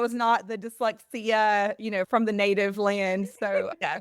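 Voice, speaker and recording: In a Southern US accent, a woman talks at a fairly slow pace in a fairly high voice, the sound dry and close with no echo. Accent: Southern American. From US South. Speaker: literacy advocate. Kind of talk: casual chat.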